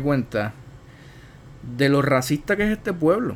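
A man's fairly high pitch, ordinary pitch variation, and fairly slow pace. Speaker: podcast host. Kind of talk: casual chat.

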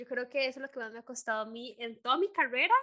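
Her voice is high-pitched, bright and sharp in tone, as the woman speaks with ordinary pitch variation. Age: 20s. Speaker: podcast host. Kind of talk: casual chat. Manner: animated.

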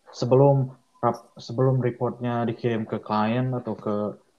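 Flat, monotone intonation in a medium-pitched male voice. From Indonesia, Bandung (West Java). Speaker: structural designer. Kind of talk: casual interview. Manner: halting, many fillers.

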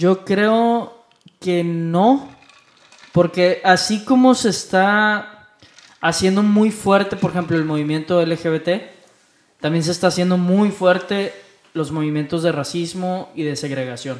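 The speech comes at a very slow pace. It carries a Mexican accent. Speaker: podcast co-host. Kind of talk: casual chat.

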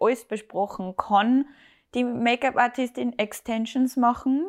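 A woman with a Salzburg accent at a moderate pace, on a very clean recording with a silent background. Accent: Austrian German (Salzburg). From Austria, Salzburg. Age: 20s. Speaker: hairdresser and bridal stylist. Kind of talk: casual interview.

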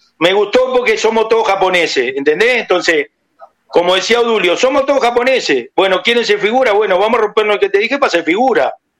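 Delivered at a very fast pace, the speech has lively intonation and very even loudness. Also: man, high pitch for a man. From Uruguay. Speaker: former football player. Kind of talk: phone interview.

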